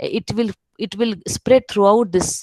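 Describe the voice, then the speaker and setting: A woman's fairly high-pitched voice comes across dry and close, with no echo. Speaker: keynote speaker, professor. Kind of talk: webinar lecture. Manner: halting, many fillers.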